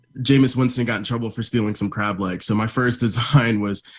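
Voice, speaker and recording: A man with an American accent talks at a fairly quick pace, medium in pitch and fairly even in intonation. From Florida. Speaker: media buyer. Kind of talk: livestream presentation. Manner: fast.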